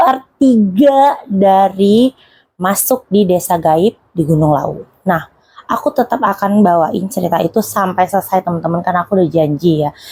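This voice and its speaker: The voice has a dark, mellow tone and is somewhat breathy. Its loudness stays very even. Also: woman, medium pitch for a woman, lively intonation, moderate pace. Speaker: YouTube horror storyteller. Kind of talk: casual storytelling. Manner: chatty, conversational.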